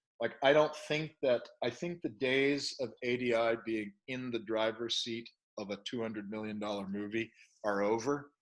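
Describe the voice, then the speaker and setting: A man's medium-pitched voice, moderate pace and ordinary pitch variation. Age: 60s. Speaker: special effects studio co-founder. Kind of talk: interview. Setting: podcast interview. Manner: halting, many false starts.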